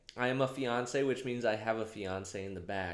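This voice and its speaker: Audible room echo accompanies a man whose medium pitch shows ordinary variation. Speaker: comedic vlogger. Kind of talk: casual comedic monologue to camera. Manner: warmer voice than usual.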